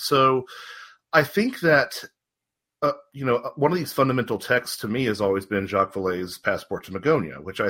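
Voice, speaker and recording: An unremarkable speaking voice with an American accent talks at a fairly quick pace. The recording is very clean, with a silent background. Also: man. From North Carolina, near Charlotte. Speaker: author and researcher of paranormal folklore. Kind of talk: interview conversation.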